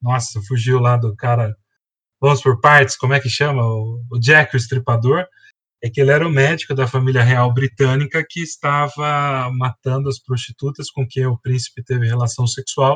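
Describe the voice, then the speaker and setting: Recorded with a dry, close sound and no echo, a man uses a plain, everyday voice at medium pitch, with a moderate pace and fairly even intonation. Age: 40s. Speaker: biology teacher. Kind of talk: educational podcast explanation.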